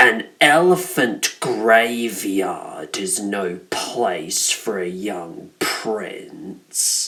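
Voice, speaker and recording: A man's put-on character voice, growling at medium pitch, very slow yet with hardly any pauses. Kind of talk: fan villain voiceover. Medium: fan dub. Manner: sardonic, smooth and manipulative.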